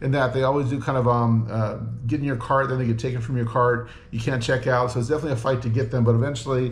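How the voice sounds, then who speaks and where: A man's somewhat breathy voice, monotone and flat in intonation, at a very fast pace. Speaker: food reviewer. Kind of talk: casual vlog chat. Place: home room. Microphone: camera far.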